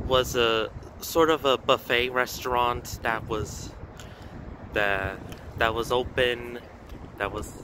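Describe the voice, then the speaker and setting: Against noticeable background noise, a man speaks very slowly with fairly even intonation in a dry recording with no echo. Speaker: vlogger filming location. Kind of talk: casual vlog commentary. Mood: slightly sad. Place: street. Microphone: phone near.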